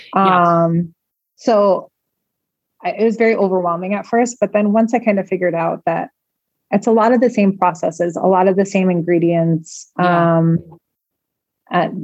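With a Chicago accent, a woman speaks at medium pitch and a moderate pace, using long, frequent pauses. Her intonation is fairly even and her loudness very even. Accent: Chicago American English. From US Midwest, Chicago. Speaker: home cook and food blogger. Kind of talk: casual interview. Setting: remote call.

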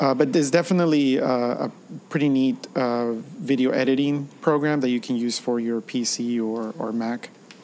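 Noticeable background noise is present throughout. Meanwhile, the speaker's intonation remains fairly even. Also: man, medium pitch for a man, moderate pace. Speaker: podcast co-host, educator. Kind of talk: casual tech podcast chat.

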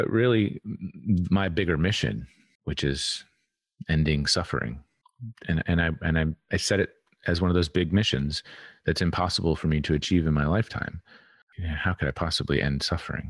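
A soft-spoken man with a very deep, low voice and vocal fry talks at a fairly quick pace with very even loudness, pausing long and often against a quiet background. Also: ordinary pitch variation. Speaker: podcast guest, healing and embodiment teacher. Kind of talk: casual interview chat.

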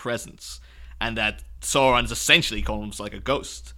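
The recording is very clean, with a silent background. A man at medium pitch speaks in a bright, sharp tone with vocal fry. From Ireland. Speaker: guest podcast host. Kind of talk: casual chat. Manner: animated, laughing often.

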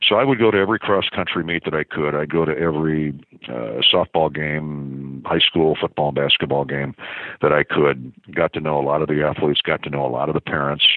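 Fairly quick speech from a man with a very deep, low pitch. His pitch variation is ordinary. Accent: Midwestern American. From US Midwest (small-town Iowa). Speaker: sports play-by-play broadcaster. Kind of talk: casual interview.

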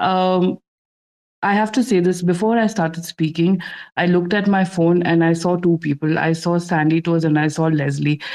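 In an Indian accent, a woman speaks at a moderate pace with a fairly low pitch and fairly even intonation. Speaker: digital artist. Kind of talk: casual live audio room chat. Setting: online audio room.

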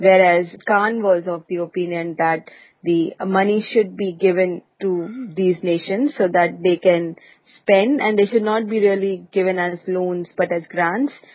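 With a plain, everyday voice, a woman speaks fairly slowly at a medium pitch and with fairly even intonation. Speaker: podcast host. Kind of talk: casual business news discussion.

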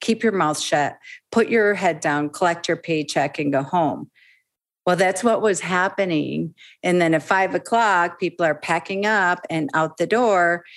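A plain, everyday voice talks at a fairly slow pace with ordinary pitch variation and very even loudness, in a very clean recording with a silent background. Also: woman, fairly low pitch for a woman. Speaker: legal business consultant. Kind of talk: interview.

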